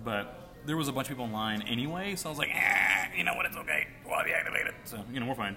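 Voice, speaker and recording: Over noticeable background noise, a man talks at a very fast pace with a medium pitch and lively intonation. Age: 20s. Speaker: podcast host. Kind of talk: casual chat. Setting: bar or cafe with live band.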